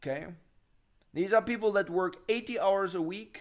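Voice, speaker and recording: The tone is animated. The speaker has a German accent. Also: man. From Germany. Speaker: finance YouTuber. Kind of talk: live stream Q&A.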